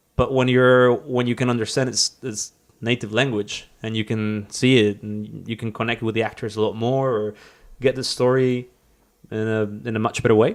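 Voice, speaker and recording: A man with a Spanish accent, monotone, flat intonation and a moderate pace, in a very clean recording with a silent background. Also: medium pitch for a man. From northern Mexico. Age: 30s. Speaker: cinematographer and photographer. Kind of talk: casual interview. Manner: halting, repeats words.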